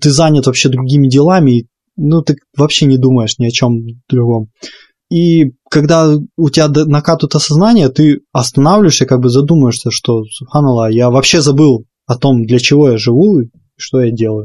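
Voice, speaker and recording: At a moderate pace, a man with a fairly high pitch and a dark, mellow tone speaks with ordinary pitch variation and very even loudness, the sound dry and close with no echo. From Ukraine. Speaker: podcast co-host. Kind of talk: casual chat. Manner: stuttering at times.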